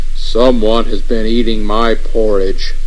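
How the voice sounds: A man uses a put-on character voice at a fairly slow pace. Clear background noise runs behind him.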